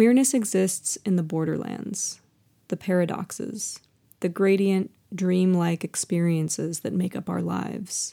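With an American accent, a woman speaks at a fairly slow pace in a dark, mellow tone at a medium pitch, with ordinary pitch variation. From Seattle area, Washington. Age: 30s. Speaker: podcast host and storyteller. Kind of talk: spoken word. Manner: measured, heartfelt, expressive.

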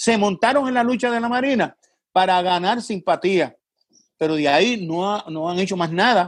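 His pitch high for a man, a male speaker holds a moderate pace and varies his pitch in an ordinary way. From Puerto Rico, Vieques. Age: 70s. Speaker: community activist and candidate. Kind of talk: interview.

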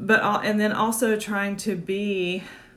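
A woman talks very slowly, and audible room echo fills the space around her. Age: 40s. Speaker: midwife and podcast host. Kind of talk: casual monologue on live video. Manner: halting, many fillers.

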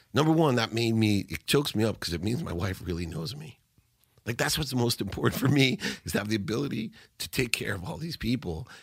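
Talking at a very fast pace, a man keeps a medium pitch and lively intonation. The recording is very clean, with a silent background. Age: 50s. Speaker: entrepreneur and speaker. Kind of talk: interview. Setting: studio.

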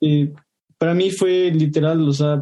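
Dark, mellow tone at a fairly slow pace with fairly even intonation. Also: man. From Ecuador. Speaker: junior software developer. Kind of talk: casual discussion.

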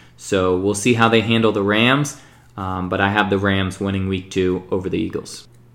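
Fairly even in intonation, a man talks at a moderate pace. His pitch is fairly low. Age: 30s. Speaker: sports podcast host. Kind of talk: solo sports predictions monologue.

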